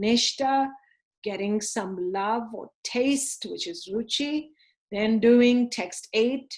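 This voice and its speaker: Her pace is very slow. The woman speaks in a fairly high pitch with ordinary pitch variation. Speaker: religious teacher. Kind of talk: online class lecture.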